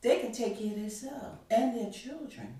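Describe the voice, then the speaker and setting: A woman's dark, mellow tone with vocal fry and ordinary pitch variation, in audible room echo. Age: 60s. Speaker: podcast guest, mother of host. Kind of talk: casual chat.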